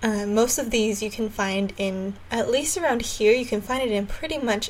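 This woman has an ordinary speaking voice, fairly high in pitch, with ordinary pitch variation at a moderate pace. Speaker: podcast host. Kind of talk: casual podcast chat.

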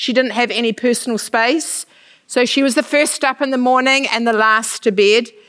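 The speaker talks at a moderate pace with a New Zealand accent. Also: woman. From New Zealand, Manawatu. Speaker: missionary. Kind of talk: church talk.

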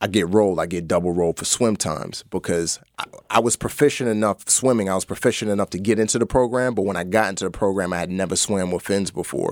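A man with a New York accent speaks at a fairly quick pace with a very deep, low pitch and fairly even intonation. The recording is very clean with a silent background and a dry, close sound with no echo. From New York (the Bronx). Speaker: actor and former navy trainee sharing his faith story. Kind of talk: testimony. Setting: studio.

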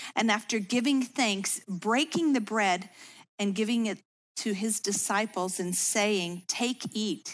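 With an unremarkable speaking voice, a woman talks at a fairly high pitch and a fairly slow pace in an American accent, on a very clean recording with a silent background. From US Midwest, Chicago suburbs. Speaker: women's ministry speaker. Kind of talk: devotional talk.

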